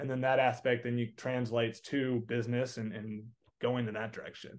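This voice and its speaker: With an American accent, this man talks at a medium pitch. His delivery is flat and monotone. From Texas. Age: 20s. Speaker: entrepreneur and coaching student. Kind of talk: casual interview. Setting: call.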